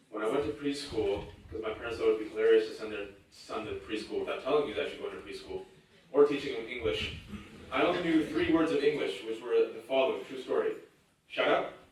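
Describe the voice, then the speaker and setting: Very fast speech in an American accent, with big swings in loudness, audible room echo and noticeable background noise. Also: man. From US West Coast, Fremont, California. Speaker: writer and panelist. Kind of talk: panel talk. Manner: animated.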